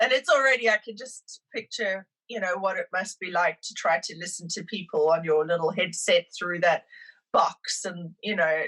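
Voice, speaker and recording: A woman with a South African accent, medium pitch and a bright, sharp tone, ordinary pitch variation, big swings in loudness and a moderate pace, in a dry, close sound with no echo. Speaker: immigrant sharing her story. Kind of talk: podcast interview.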